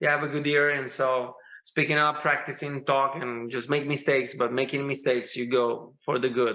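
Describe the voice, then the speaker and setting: A bright, sharp tone with monotone, flat intonation at a moderate pace. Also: man, fairly high pitch for a man. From Italy. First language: Italian. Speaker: rock musician. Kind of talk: casual chat. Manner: halting.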